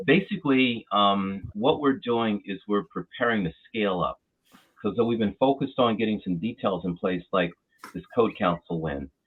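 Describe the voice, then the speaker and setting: With an American accent, this unremarkable speaking voice moves at a moderate pace with lively intonation. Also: man, fairly low pitch for a man. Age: 60s. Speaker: trade association president. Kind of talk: interview.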